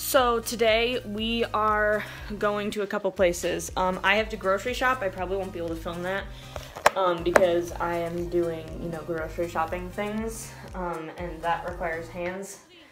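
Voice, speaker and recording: A woman's fairly even intonation over clear background music. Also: moderate pace. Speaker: service dog handler vlogger. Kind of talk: casual vlog chat. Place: bathroom. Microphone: phone near.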